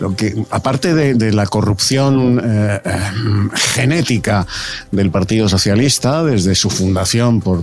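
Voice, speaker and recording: A man with a fairly low pitch and ordinary pitch variation speaks at a fairly slow pace with very even loudness, over noticeable background noise. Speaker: political commentator. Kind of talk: radio panel debate.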